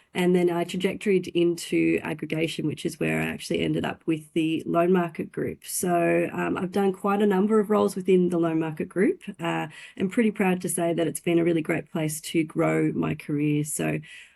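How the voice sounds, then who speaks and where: A woman with a slight Australian accent at a moderate pace, hardly any pauses, and a quiet background. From Australia, country Victoria. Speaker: finance industry director. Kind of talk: interview. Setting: podcast.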